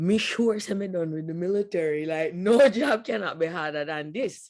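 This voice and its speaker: A woman talks with a Jamaican accent. Her intonation is lively. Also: fairly low pitch for a woman, moderate pace. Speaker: US military veteran and business owner. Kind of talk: interview answer.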